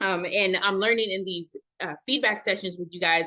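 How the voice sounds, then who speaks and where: A woman speaks at a fairly quick pace with a medium pitch. Her tone is bright and sharp, and her pitch varies in an ordinary way. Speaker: organization founder hosting a members' session. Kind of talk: virtual members session talk. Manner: fast.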